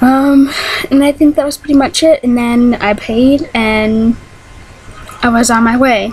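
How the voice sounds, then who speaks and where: A woman's high pitch with fairly even intonation, a fairly slow pace, long, frequent pauses and noticeable background noise. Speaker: vlogger. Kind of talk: casual vlog monologue. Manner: hesitant, many ums.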